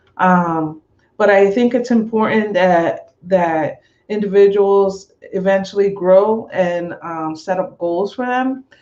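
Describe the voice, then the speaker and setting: Speaking at a very slow pace with a Spanish accent, a woman keeps a medium pitch and ordinary pitch variation. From US, Westchester, Puerto Rican family. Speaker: domestic violence advocate. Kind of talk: panel discussion. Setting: live webinar.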